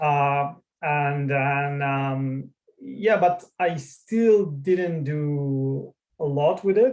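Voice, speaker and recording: A man speaks with a non-native accent. His fairly high pitch shows ordinary variation. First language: not English. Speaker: tech founder. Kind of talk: interview. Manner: halting, many fillers.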